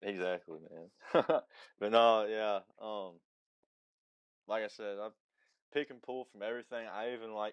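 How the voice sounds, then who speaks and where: A man speaks at a fairly low pitch and a moderate pace with fairly even intonation. His loudness swings widely, and he takes long, frequent pauses. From Alabama (Huntsville). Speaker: musician. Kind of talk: interview.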